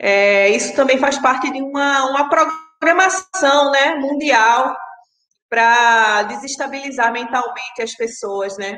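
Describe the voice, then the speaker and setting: Amid audible room echo, a woman speaks very slowly at a high pitch, her tone bright and sharp with ordinary pitch variation. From Pernambuco, Brazil. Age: 30s. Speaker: sound artist and sound editor. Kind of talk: interview.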